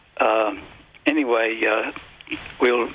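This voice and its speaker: Noticeable background noise runs under a speaker with an American accent. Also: man. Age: 80s+. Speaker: author and economist. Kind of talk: radio interview. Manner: halting, many filler words.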